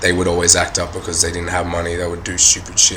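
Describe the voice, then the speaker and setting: Against noticeable background noise and audible room echo, a man speaks with an Australian accent and a very deep, low pitch. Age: 20s. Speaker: rapper. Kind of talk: interview talk. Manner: halting, many fillers.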